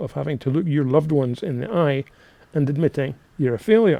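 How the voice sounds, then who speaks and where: With a Scottish accent, a man speaks at a fairly quick pace, his fairly high pitch, dark, mellow tone and lively intonation all clear. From Scotland, Linlithgow near Edinburgh. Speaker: real estate coach, podcast host. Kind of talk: podcast monologue, coaching. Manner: casual, energetic.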